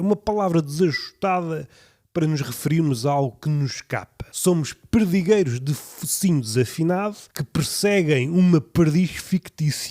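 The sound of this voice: A dark, mellow tone at a moderate pace with ordinary pitch variation. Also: man, fairly high pitch for a man.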